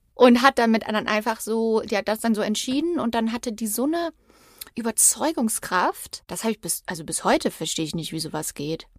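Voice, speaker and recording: Dry and close with no echo, a woman talks at a fairly quick pace in a fairly high voice that makes very wide pitch swings. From Germany, Übach-Palenberg near Aachen. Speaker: true crime podcaster. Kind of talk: casual storytelling chat.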